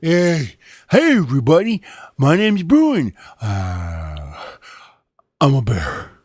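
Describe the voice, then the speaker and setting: In a put-on character voice with a low-to-middle pitch, the speaker goes fairly slowly, leaving long, frequent pauses. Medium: read story.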